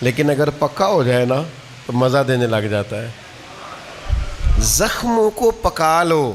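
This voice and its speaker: A man speaks with a fairly high pitch and very wide swings in it, his loudness staying very even. Noticeable background noise runs underneath. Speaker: Islamic scholar giving a religious talk. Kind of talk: Islamic sermon (bayan) in Urdu. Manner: conversational, warm, with rhetorical questions.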